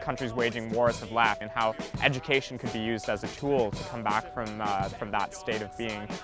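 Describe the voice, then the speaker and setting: Music is in the background. A man talks with ordinary pitch variation. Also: medium pitch for a man. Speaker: spoken word poet. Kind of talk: interview answer.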